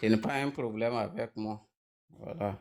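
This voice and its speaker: Over background music, a man with a non-native accent speaks at a medium pitch. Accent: non-native French, noticeable. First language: Mooré (speaking French). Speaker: panel debate participant. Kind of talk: online panel debate. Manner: slow.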